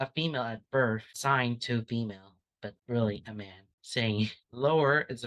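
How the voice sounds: Quiet surroundings behind a natural reading voice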